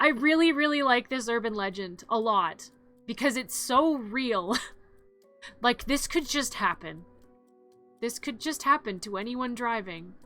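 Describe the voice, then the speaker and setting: Music plays in the background as a woman speaks at a fairly high pitch. Her pace is fairly slow, with long, frequent pauses. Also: lively intonation. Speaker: vtuber streamer. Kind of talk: casual live stream chat.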